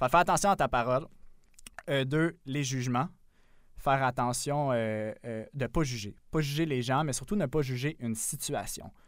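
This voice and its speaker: Very clean recording, silent background. A man speaks slowly-ish, at a fairly slow pace, in a plain, everyday voice of medium pitch with ordinary pitch variation. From Quebec, south shore of Montreal. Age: 20s. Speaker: podcast co-host. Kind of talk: casual chat.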